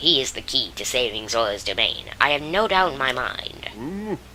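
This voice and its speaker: In a put-on character voice, someone speaks at a low-to-middle pitch over clear background noise. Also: moderate pace. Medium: game stream. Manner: earnest, courteous.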